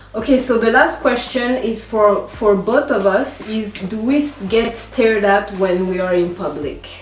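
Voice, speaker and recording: A woman with a French accent speaks at a fairly slow pace with hardly any pauses, over noticeable background noise. Her pitch is fairly high, with ordinary pitch variation. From Rwanda. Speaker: YouTuber. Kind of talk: casual chat.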